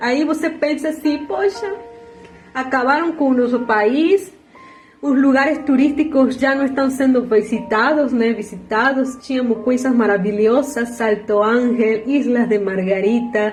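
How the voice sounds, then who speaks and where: Noticeable background noise and audible room echo surround a woman with a Venezuelan accent. She talks at a fairly slow pace and high pitch with ordinary pitch variation. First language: Spanish (speaking Portuguese). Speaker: social media video maker. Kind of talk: emotional political monologue.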